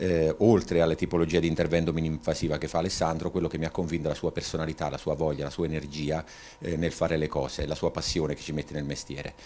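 A man's very deep, low voice at a very fast pace, monotone and flat, over light background noise. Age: 50s. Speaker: patient. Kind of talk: testimony. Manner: halting. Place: home room. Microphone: handheld.

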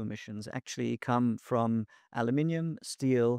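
A man's dark, mellow voice at a moderate pace with ordinary pitch variation, dry with no echo, over a quiet background. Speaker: guest. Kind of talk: interview answer. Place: studio. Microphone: studio mic.

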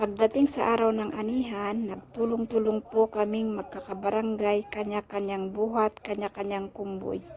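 A woman with a fairly high pitch talks with hardly any pauses and fairly even intonation. Background noise can be heard. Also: moderate pace. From Philippines, Benguet highlands. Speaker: vlogger. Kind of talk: vlog narration. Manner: polite, uses po.

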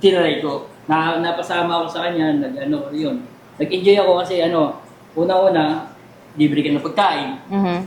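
Amid audible room echo and noticeable background noise, a man with a high voice speaks at a moderate pace with ordinary pitch variation. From Taytay, Rizal, Philippines. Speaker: comedian and magician. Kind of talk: interview.

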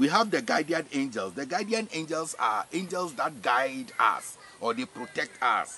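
Delivered at a fairly slow pace, the voice swings very widely in pitch on a dry recording with no echo and light background noise. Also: man. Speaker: spiritual teacher. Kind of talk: religious teaching. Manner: repetitive, hesitant with fillers. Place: farm. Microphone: camera far.

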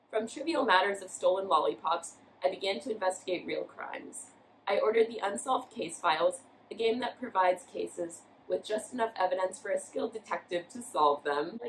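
Lively intonation marks this woman's fairly quick speech. Light background noise can be heard behind her. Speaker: college student. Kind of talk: reading aloud. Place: home room. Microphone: camera far.

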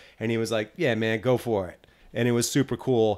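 Talking at a fairly quick pace, a man has a medium pitch and an unremarkable speaking voice. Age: 40s. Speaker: podcast host, drummer. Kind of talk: casual interview chat.

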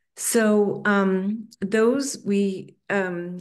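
A woman speaks at a medium pitch. Her intonation is fairly even.

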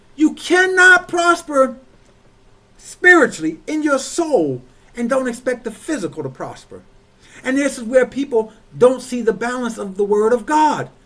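Using a raised, projected voice, a man with an extremely high pitch and a bright, sharp tone speaks at a moderate pace with lively intonation. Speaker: church overseer, preacher. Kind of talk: sermon delivered to a congregation. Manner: emphatic, rhythmic, repetitive preaching delivery. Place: home room. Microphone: webcam.

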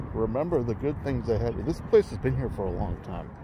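Recorded dry with no echo but with noticeable background noise, a man speaks at a fairly slow pace. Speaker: vlogger. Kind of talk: casual vlog chat. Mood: nostalgic, relaxed. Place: street. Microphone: phone near.

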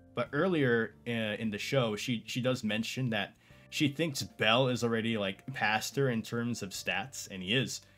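A man speaks at a fairly slow pace with ordinary pitch variation. Faint music plays in the background. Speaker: anime reviewer. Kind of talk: casual commentary. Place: home room.

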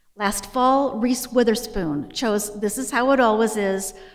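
With an American accent, a woman speaks at a fairly high pitch and a fairly slow pace. Her pitch variation is ordinary, and the background is quiet. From US Midwest. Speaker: library director. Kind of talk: formal introduction speech. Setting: stage with audience. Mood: warm, admiring. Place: hall. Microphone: podium.

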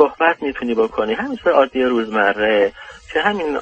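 A man's voice over noticeable background noise. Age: 40s. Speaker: caller, dentist. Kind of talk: asking for personal advice. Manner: halting.

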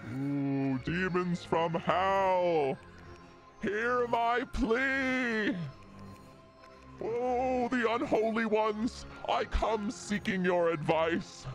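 Over clear music in the background, a man uses a put-on character voice pitched high. He talks at a very slow pace with long, frequent pauses. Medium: virtual streamer. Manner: theatrical, then exasperated.

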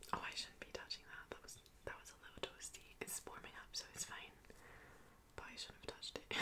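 Whispering, a woman talks at a fairly quick pace. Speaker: ASMR role-play host. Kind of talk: soft role-play chat to the viewer. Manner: soft close-mic ASMR voice. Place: home room. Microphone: studio mic.

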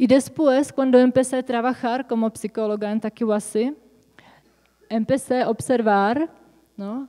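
A woman's high-pitched voice with a dark, mellow tone and a Czech accent, fairly even intonation, fairly slow pace, long and frequent pauses, and a quiet background. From Czech Republic. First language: Czech (speaking Spanish). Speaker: psychotherapist; presenter. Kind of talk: conference talk. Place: hall. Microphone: podium.

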